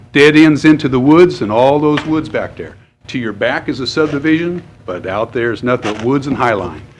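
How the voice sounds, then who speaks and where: A man's fairly high voice with an American accent, fairly quick and lively in intonation, over noticeable background noise. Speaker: public commenter. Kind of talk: public comment at government meeting.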